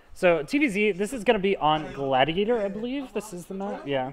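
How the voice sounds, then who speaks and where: Lively intonation marks this man's speech at a moderate pace, with an American accent. Noticeable background noise is present. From US South. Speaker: esports caster. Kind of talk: live commentary. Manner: animated.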